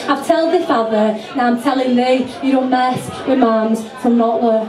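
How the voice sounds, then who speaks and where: Through noticeable background noise, a woman speaks fairly slowly at a high pitch. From Yorkshire, England. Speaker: poet. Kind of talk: live poetry performance. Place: bar.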